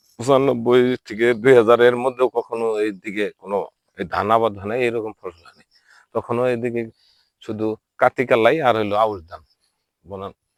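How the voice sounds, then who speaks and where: This is an unremarkable speaking voice, a man's, medium in pitch with fairly even intonation, recorded dry and close with no echo. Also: very clean recording, silent background. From Bangladesh, Tangail district. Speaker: local council member and vlogger. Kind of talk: walking video tour. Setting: outdoors in village.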